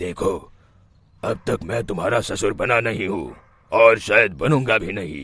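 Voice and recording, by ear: Using a cartoonish character voice at a medium pitch, a man speaks at a fairly slow pace.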